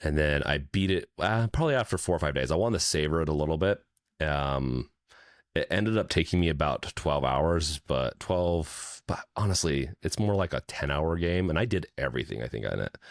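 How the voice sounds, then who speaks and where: A very deep, low male voice with very even loudness and ordinary pitch variation, in a very clean recording with a silent background. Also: fairly quick pace. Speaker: gaming podcast co-host. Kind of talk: casual chat.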